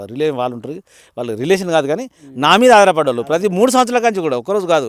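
A man with a high voice is heard on a very clean recording with a silent background. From Telangana, Warangal district. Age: 60s. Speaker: farmer. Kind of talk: interview.

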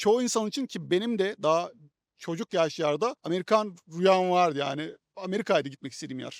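In a very clean recording with a silent background and a dry, close sound with no echo, a man talks very fast at a high pitch with ordinary pitch variation. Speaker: YouTuber. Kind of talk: interview. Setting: outdoors.

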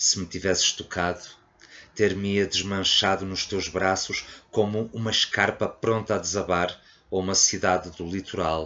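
The man's voice is pitched very deep and low. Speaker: poetry reader. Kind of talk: poetry reading aloud, intimate and confessional.

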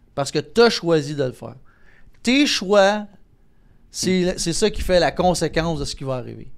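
A man with a Quebec accent and lively intonation at a moderate pace in a very clean recording with a silent background. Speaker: entertainer and impressionist. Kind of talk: casual interview conversation.

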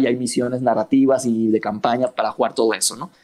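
A man speaks at a moderate pace and medium pitch with fairly even intonation. It is a plain, everyday voice. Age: 30s. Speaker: miniature painter and board gamer. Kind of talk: casual chat.

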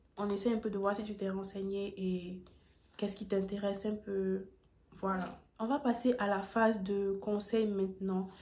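Over audible room echo, a woman speaks at a medium pitch in a somewhat breathy voice with a dark, mellow tone. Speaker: YouTuber, student giving admissions advice. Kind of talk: vlog tutorial. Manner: calmer than usual, low energy.

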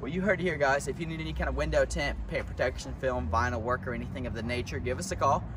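The sound is dry, with no echo. Noticeable background noise is present. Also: man. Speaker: shop employee hosting testimonial. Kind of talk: promotional host talk. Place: street. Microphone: camera far.

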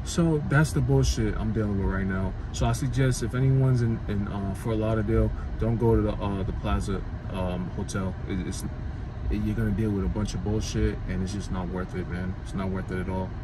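Fairly quick speech from a man with a very deep, low pitch, set against noticeable background noise. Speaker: vlogger. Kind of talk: casual vlog chat. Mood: annoyed, venting. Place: car. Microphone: phone near.

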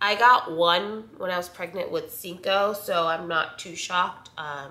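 A woman's fairly low, nasal voice with a bright, sharp tone and lively intonation, plus audible room echo

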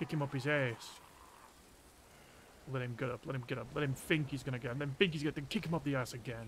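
At a very fast pace broken by long, frequent pauses, a man speaks in a somewhat breathy voice at medium pitch. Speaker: streamer. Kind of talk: casual gameplay commentary. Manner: monotone.

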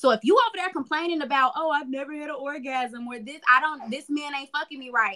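In a raised, projected voice with an American accent, a woman talks very fast with hardly any pauses, using a high pitch, a bright, sharp tone, ordinary pitch variation and big swings in loudness over a quiet background. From Chicago. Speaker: sexologist and podcast host; podcast host. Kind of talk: casual chat. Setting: video call. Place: home room. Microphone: video call.

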